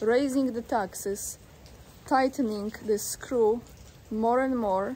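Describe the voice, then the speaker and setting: Light background noise sits behind a woman's fairly high voice. She talks at a fairly slow pace with fairly even intonation. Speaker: video blogger commenting on news. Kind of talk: reading an article aloud with commentary. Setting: outdoors. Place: waterside. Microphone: phone near.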